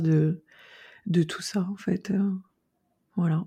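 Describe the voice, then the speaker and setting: On a very clean recording with a silent background, a woman speaks at a fairly low pitch in a dark, mellow, somewhat breathy tone with monotone, flat intonation. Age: 40s. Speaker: naturopath specialized in eating disorders. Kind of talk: interview. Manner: outspoken, frank.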